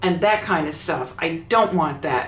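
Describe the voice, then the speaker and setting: With lively intonation, a woman speaks at a moderate pace amid noticeable background noise and audible room echo. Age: 70s. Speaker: YouTuber. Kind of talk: casual vlog talk.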